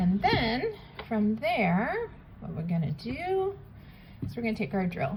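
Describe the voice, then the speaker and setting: Noticeable background noise behind a woman speaking at a medium pitch. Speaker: polymer clay artist. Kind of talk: tutorial. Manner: casual, with many fillers.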